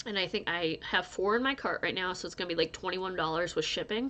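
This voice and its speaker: Over a quiet background, a woman with a medium pitch and a bright, sharp tone talks very fast, her pitch varying in an ordinary way. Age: 30s. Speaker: crochet youtuber. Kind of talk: casual vlog chat. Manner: rambling, scattered.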